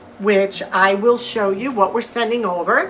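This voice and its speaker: A loud woman's voice with a warm tone, music in the background. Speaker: lifestyle vlogger. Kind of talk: cooking tutorial. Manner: warm, friendly.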